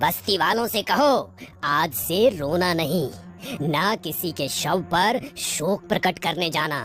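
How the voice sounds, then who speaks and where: A man puts on a cartoonish character voice, high in pitch and fairly slow. Clear music plays in the background. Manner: solemn, measured.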